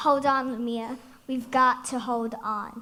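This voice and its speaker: A female-sounding voice, high-pitched and put on as a character, speaks at a fairly slow pace in a monotone, flat delivery. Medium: stage play. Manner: grumbling, cautious.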